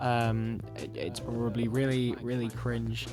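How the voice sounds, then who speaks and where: A man speaks with an English accent. Music plays in the background. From England. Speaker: Minecraft YouTuber. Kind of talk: casual gameplay commentary. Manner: hesitant, rambling.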